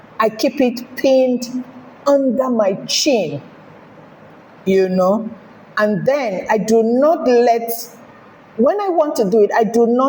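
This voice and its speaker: Lively in intonation, a woman with a fairly high pitch speaks very slowly over noticeable background noise. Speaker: sewing tutorial creator. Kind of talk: tutorial. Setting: home. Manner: clear.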